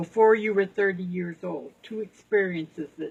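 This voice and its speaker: Her voice is somewhat breathy, with ordinary pitch variation. The woman speaks at a moderate pace. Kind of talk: interview questions to a relative.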